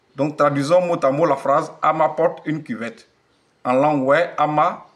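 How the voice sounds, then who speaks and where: With an Ivorian accent, a man speaks at a fairly high pitch and with fairly even intonation. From Côte d'Ivoire, Wê region (Facobly). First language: Wê (speaking French). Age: old. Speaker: language teacher. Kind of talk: tutorial. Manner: slow, repetitive.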